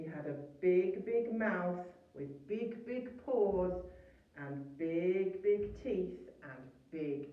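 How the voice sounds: Lively intonation carries this natural reading voice.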